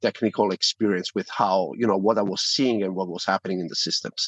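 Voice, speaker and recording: The recording has a quiet background and a dry, close sound with no echo. A man talks at a fairly quick pace with an Italian accent. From Italy. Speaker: privacy tech company founder. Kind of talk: interview.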